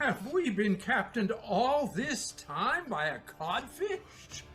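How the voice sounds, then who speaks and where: A put-on character voice, fairly high in pitch, moves at a very slow pace with very wide pitch swings. Clear background noise is present. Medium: stage play.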